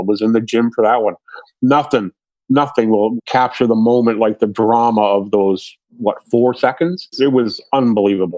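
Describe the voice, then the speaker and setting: At a moderate pace, a man with medium pitch and an ordinary speaking voice talks with fairly even intonation in a dry, close sound with no echo. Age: 60s. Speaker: sports reporter. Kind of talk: interview.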